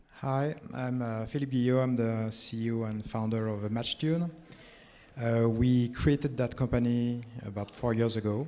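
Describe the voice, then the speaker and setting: With a French accent, a man speaks at a medium pitch and fairly even intonation. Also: moderate pace. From France. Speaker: tech company founder. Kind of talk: panel discussion.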